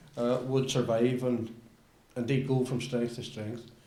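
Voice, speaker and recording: A man of medium pitch keeps a moderate pace over noticeable background noise. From Northern Ireland. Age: older. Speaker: politician. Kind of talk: political statement.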